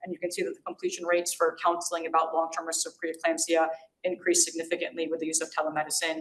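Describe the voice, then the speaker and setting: Very fast and in monotone, flat intonation, a woman talks at a fairly low pitch. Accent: American. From New York. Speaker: physician giving grand rounds lecture. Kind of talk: lecture.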